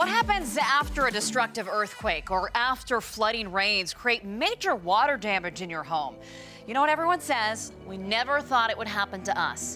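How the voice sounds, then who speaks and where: Over music in the background, a woman's fairly high voice swings very widely in pitch. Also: moderate pace. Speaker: TV meteorologist and journalist. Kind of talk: TV news report.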